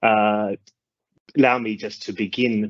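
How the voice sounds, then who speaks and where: Over a quiet background, a man with an Australian accent speaks fairly slowly in a bright, sharp tone at a fairly low pitch, the sound dry and close with no echo. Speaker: legal officer. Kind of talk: conference presentation. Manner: halting, many fillers.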